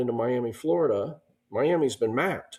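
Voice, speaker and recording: With a dark, mellow tone, a man speaks at a medium pitch and a fairly quick pace. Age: 60s. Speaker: entrepreneur. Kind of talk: interview. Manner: conversational.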